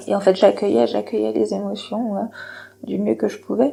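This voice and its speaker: This voice has a dark, mellow tone and ordinary pitch variation. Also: woman. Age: 30s. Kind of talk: personal testimony to camera. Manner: hesitant, reflective.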